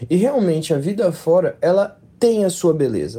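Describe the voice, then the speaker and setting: Dark and mellow in tone, a man's high voice moves with lively intonation. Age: 20s. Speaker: listener sending a voice message. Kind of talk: recorded testimony.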